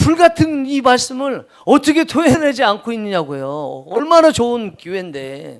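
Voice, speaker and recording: A man speaks loudly. The recording is very clean, with a silent background. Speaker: pastor. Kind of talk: sermon. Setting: church. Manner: loud, raising voice.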